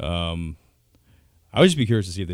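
A man's very deep, low voice in a very clean recording with a silent background. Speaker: guest, fill-in panelist. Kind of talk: casual sports chat.

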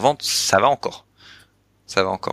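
A bright, sharp tone comes through in dry, close sound with no echo on a very clean recording with a silent background. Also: man. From Belgium. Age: 30s. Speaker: entrepreneur. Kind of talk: casual chat. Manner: halting, many repeated words.

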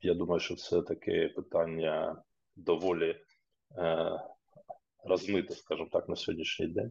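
A man talks at a moderate pace, leaving long, frequent pauses. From eastern Ukraine, Luhansk region (Popasna). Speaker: regional government official. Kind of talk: interview.

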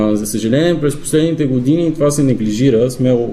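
With audible room echo around him, a man at a medium pitch speaks in a dark, mellow tone with fairly even intonation. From Bulgaria, Zlatograd (Rhodopes). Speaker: bagpiper and folk singer. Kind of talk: radio interview.

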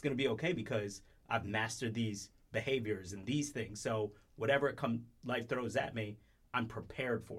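This man talks at a fairly quick pace in a somewhat breathy voice, his intonation fairly even. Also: medium pitch for a man, big swings in loudness. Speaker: podcast co-host. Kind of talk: casual chat.

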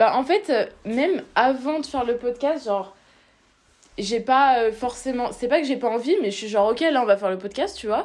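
Lively in intonation, a woman speaks at a high pitch and moderate pace. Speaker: podcast co-host, student. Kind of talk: casual chat.

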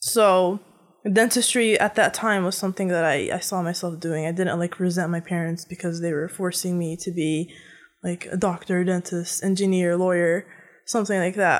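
A woman speaks in a plain, everyday voice with an American accent, her fairly low pitch and fairly even intonation moving at a moderate pace over a very clean recording with a silent background. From United States, Egyptian family. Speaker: technical writer. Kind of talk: casual chat.

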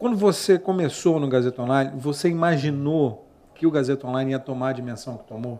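A man with a fairly high pitch and ordinary pitch variation speaks with big swings in loudness amid noticeable background noise. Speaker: podcast host. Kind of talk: interview. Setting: studio.

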